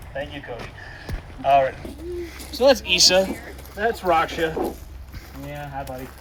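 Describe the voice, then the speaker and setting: A man talks at a fairly slow pace with long, frequent pauses and big swings in loudness, over noticeable background noise. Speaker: wildlife center tour guide. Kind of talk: guided tour talk.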